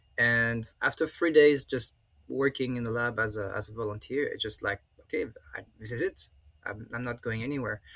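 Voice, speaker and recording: A man with a French accent, bright and sharp in tone, ordinary pitch variation, moderate pace, and a dry, close sound with no echo. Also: medium pitch for a man. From France. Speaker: professor. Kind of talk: interview. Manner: halting.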